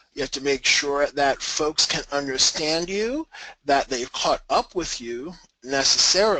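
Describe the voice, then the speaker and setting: A man with an American accent speaks fairly slowly, his bright, sharp voice full of lively intonation. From New York. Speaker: technical trainer. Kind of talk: webinar presentation. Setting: online webinar.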